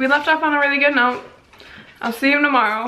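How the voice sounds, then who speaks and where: Amid noticeable background noise and audible room echo, a woman projects a raised voice with fairly even intonation. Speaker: vlogger. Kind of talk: casual vlog monologue.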